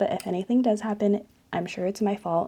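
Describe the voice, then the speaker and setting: Soft-spoken and dark, mellow in tone, a woman talks at a moderate pace with ordinary pitch variation. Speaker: lifestyle youtuber. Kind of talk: monthly favorites review. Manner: casual.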